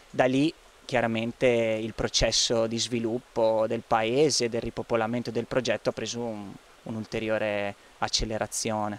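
A man speaks at a moderate pace with a medium pitch and a monotone, flat intonation, the sound dry with no echo. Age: 30s. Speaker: resident of a repopulated village, community project organiser. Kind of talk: interview; interview answer. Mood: calm, thoughtful. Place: garden. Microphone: handheld.

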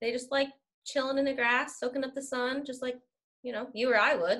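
The voice is raised and projected. The background is quiet. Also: woman. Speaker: school staff member; interview guest. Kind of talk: casual chat. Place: home room. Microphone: video call.

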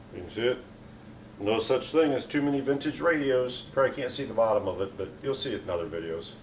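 A man's somewhat breathy voice at a very fast pace, over light background noise. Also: lively intonation. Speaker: hobby channel host. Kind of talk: casual vlog chat. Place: garage. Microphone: phone near.

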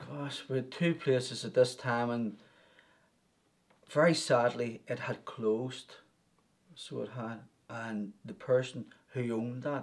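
Very slowly, a man speaks with ordinary pitch variation. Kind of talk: interview answer. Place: office.

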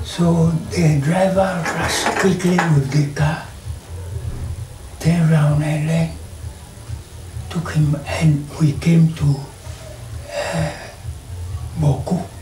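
Amid light background noise and audible room echo, a man with a fairly high pitch speaks at a very slow pace. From Ghana. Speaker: retired police officer, eyewitness. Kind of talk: interview answer. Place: home room.

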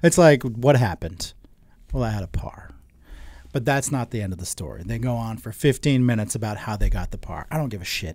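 Against a quiet background, a man with a medium pitch talks at a fairly quick pace with lively intonation and big swings in loudness, the sound dry with no echo. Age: 30s. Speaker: podcast co-host. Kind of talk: casual chat. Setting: home studio. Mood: joking, lively. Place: studio. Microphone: studio mic.

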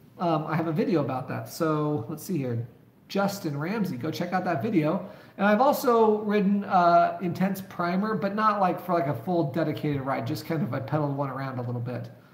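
A high-pitched man speaks at a fairly quick pace with lively intonation. Noticeable background noise and audible room echo surround his voice. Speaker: mountain bike youtuber. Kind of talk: live stream chat.

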